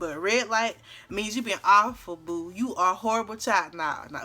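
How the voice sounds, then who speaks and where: A loud woman's voice, bright and sharp in tone, at medium pitch with ordinary pitch variation and a moderate pace. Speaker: YouTuber. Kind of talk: story time. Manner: talkative, chatty.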